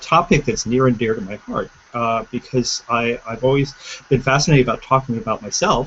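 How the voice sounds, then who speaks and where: Noticeable background noise surrounds this recording. The man has a medium pitch and speaks at a moderate pace. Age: 50s. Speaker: entrepreneur. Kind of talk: panel discussion. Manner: halting.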